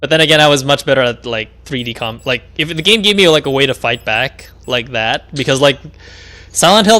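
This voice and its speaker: A man's voice with noticeable background noise. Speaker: video game streamer. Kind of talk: gaming livestream commentary. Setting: livestream while playing a game. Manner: loud when excited while gaming; casual, full of fillers and restarts.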